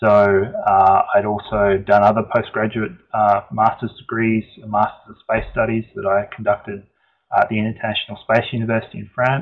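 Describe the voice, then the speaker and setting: With an Australian accent, a man talks at a moderate pace in a fairly low pitch, his intonation flat and monotone. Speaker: engineer presenting a webinar. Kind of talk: webinar presentation. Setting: online webinar. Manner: hesitant, many fillers.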